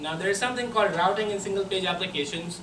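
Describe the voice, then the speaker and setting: In a raised, projected voice, a man with a high pitch and fairly even intonation speaks amid noticeable background noise and audible room echo. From Pakistan. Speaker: software engineer, conference speaker. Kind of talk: conference talk. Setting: stage with audience.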